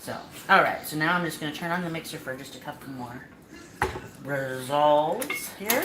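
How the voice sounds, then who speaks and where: With a relaxed tone and a very deep, low pitch, a woman speaks at a moderate pace with ordinary pitch variation, big swings in loudness and long, frequent pauses, amid audible room echo and noticeable background noise. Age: 40s. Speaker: cooking show host. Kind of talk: cooking tutorial live stream. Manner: casual, relaxed.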